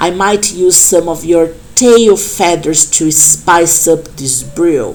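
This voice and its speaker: In a put-on character voice that sounds female, the croaky speech comes at a very slow pace and a fairly low pitch, with clear background noise. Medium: read story. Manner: sneering.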